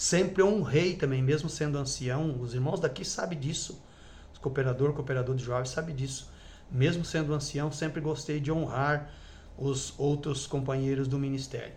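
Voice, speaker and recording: A man speaks at a moderate pace in a fairly high, somewhat breathy voice with fairly even intonation. Audible room echo surrounds the recording. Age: 60s. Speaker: former church elder. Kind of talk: testimony. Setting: at home with wife present. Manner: halting.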